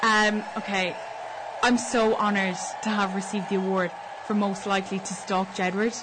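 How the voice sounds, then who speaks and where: Noticeable background noise sits under this woman's voice. She talks at a moderate pace and a medium pitch. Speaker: student radio co-host. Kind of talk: cheery co-host banter, playful radio chat. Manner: bubbly, warm, brisk.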